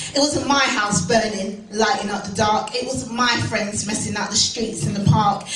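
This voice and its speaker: With music playing behind her, a woman uses lively intonation at a fairly high pitch. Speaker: spoken word poet. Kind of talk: spoken word performance. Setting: live venue.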